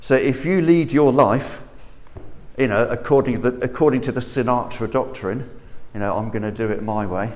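With audible room echo, a man speaks in a southern English accent, his pitch varying in an ordinary way. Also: medium pitch for a man, moderate pace. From southern England. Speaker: preacher. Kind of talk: sermon. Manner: animated.

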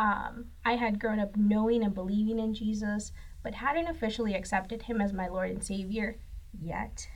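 Her voice is somewhat breathy and her pitch fairly high. This woman's intonation stays fairly even. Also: moderate pace. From northern Mexico (Saltillo, Coahuila). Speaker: graphic designer. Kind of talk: faith testimony.

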